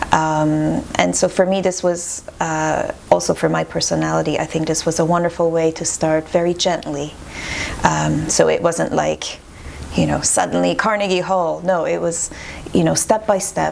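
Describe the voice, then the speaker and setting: At a moderate pace, a woman speaks with a French accent over noticeable background noise. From Montreal, Quebec. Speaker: classical violinist. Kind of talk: interview.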